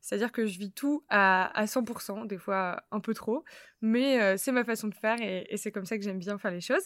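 Speaking at a moderate pace, a woman uses a plain, everyday voice with a fairly high pitch and ordinary pitch variation. The recording is very clean with a silent background and a dry, close sound with no echo. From northern France, Lille. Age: 20s. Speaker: podcast host. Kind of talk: casual chat.

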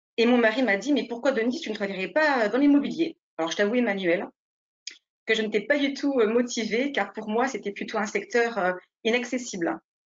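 Speaking fairly quickly, a woman uses a normal speaking voice with fairly high pitch and ordinary pitch variation. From France, Nice. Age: 40s. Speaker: real estate agent. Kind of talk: interview.

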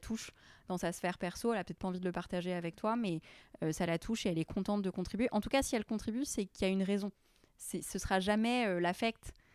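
A woman at medium pitch speaks very fast with fairly even intonation, in a dry, close sound with no echo and a very clean recording against a silent background. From Lebanon, then US, raised in France. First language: Arabic (speaking French). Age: 20s. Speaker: charity founder. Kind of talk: interview. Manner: hesitant, many repetitions.

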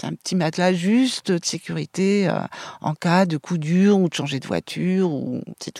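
In a dark, mellow tone and fairly low pitch, a woman speaks at a moderate pace with ordinary pitch variation and big swings in loudness. The sound is dry and close with no echo, recorded very cleanly against a silent background. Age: 60s. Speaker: interviewee, former nurse. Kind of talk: interview. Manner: hesitant.

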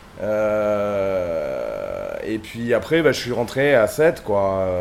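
A man's fairly low-pitched voice with lively intonation, amid noticeable background noise. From southern France, Sète area. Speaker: DJ and web radio co-founder. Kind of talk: casual chat.

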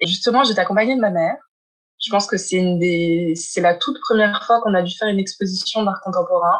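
A woman at medium pitch, very fast, with ordinary pitch variation. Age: 20s. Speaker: gallery founder. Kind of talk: interview. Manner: halting.

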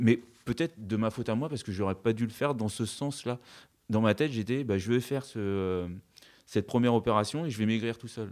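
This man's fairly low voice moves at a moderate pace with ordinary pitch variation, on a very clean recording with a silent background. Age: 40s. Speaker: building contractor, cosmetic surgery patient. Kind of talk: testimony. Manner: halting, frequent hesitations.

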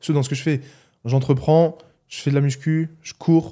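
A dark, mellow tone in monotone, flat intonation at a moderate pace, with a slight Alsatian accent. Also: man. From Alsace, France (Mulhouse). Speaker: athlete, physiotherapist and YouTuber. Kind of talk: casual chat.

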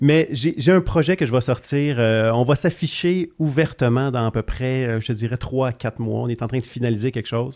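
A man at medium pitch speaks with ordinary pitch variation in a plain, everyday voice. It is a very clean recording with a silent background. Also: moderate pace. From Quebec, Gaspésie. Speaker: entrepreneur. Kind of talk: casual interview.

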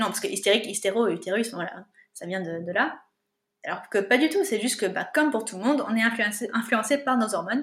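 Lively intonation runs through a woman's ordinary speaking voice, fairly high in pitch and at a fairly quick pace. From France, Paris region (Yvelines). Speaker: natural contraception trainer. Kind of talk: interview conversation.

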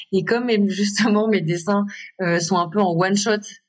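An unremarkable speaking voice from a woman, medium in pitch, at a fairly slow pace. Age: 30s. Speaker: contemporary artist. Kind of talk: interview.

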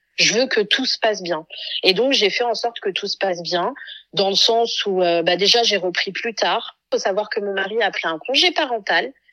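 A woman speaks in a normal speaking voice at medium pitch, with lively intonation and a moderate pace. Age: 30s. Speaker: mother and content creator. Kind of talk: casual chat.

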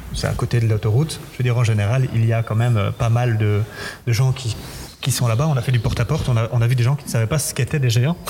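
Noticeable background noise sits behind a man talking at a very fast pace. His pitch is medium, his intonation fairly even and his loudness very even. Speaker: festival giant bearer. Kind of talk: interview. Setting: museum. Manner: halting.

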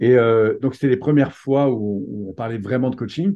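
A normal speaking voice from a man, medium in pitch, with ordinary pitch variation and a fairly quick pace. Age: 50s. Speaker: personal development coach and trainer. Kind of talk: interview.

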